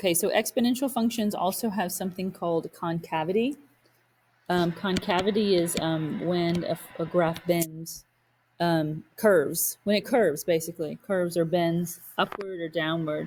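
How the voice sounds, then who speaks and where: An unremarkable speaking voice from a woman, fairly low in pitch, with ordinary pitch variation at a moderate pace. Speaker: math teacher. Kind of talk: lecture.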